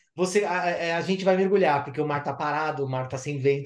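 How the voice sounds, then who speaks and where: A normal speaking voice carries the words along at a moderate pace. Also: man. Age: 50s. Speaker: underwater photographer. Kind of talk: casual chat.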